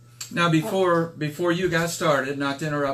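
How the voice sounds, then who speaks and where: Noticeable background noise sits under a man's fairly high voice. He talks very fast with fairly even intonation. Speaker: product promoter. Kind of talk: casual live stream interview host.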